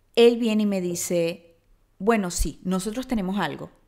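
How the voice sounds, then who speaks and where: Over a quiet background, a woman talks at a moderate pace and medium pitch with lively intonation. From Venezuela, Maracaibo; Venezuela. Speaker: podcast host. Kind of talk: storytelling monologue. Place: home room. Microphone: studio mic.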